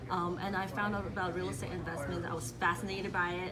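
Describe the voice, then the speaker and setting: A woman speaks with a Cantonese accent. Audible room echo and noticeable background noise fill the recording. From Hong Kong. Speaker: real estate agent. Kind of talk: radio interview.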